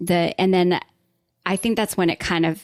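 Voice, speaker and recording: Over a very clean recording with a silent background, a woman with a Southern US accent speaks at a fairly low pitch with fairly even intonation, the sound dry and close with no echo. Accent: mild Southern. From US South, Atlanta, Georgia. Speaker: writer and worship leader. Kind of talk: podcast interview.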